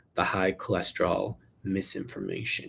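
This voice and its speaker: A man talks on a very clean recording with a silent background. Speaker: health doctor answering viewer questions. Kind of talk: live Q&A. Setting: livestream. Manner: fast.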